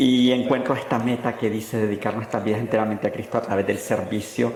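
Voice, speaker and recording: A man speaks at a moderate pace in a monotone, flat delivery. The room echoes audibly, and background noise is noticeable. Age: 30s. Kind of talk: interview testimony.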